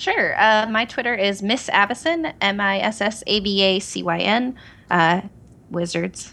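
Speaking at a fairly slow pace with long, frequent pauses, a woman with an American accent has a medium pitch, ordinary pitch variation, and a bright, sharp tone. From Oregon, US. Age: 30s. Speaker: online gaming community cofounder. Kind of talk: casual chat. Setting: phone call.

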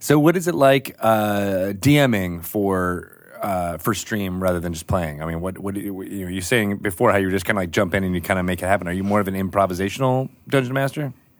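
A man talks at a fairly quick pace with hardly any pauses. He has an ordinary speaking voice, fairly low in pitch with ordinary variation. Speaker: podcast host. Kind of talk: casual chat.

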